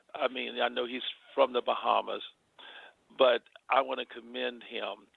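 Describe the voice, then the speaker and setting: A man talks at a moderate pace. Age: 60s. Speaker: bishop, preacher. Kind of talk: interview. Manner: animated.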